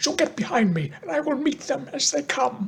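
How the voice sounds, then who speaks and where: In a put-on character voice, the speaker uses a fairly high pitch with very wide pitch swings. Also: moderate pace. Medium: read story.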